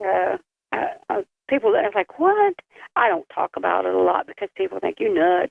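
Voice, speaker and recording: A woman at a fairly quick pace, with long, frequent pauses. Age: 60s. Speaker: bigfoot witness. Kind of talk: casual chat. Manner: halting.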